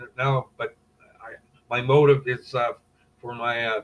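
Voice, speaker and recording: The speaker talks with a Canadian accent at a moderate pace. Intonation remains fairly even. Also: man. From Canada. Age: 50s. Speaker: former underworld figure. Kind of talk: casual chat. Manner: halting.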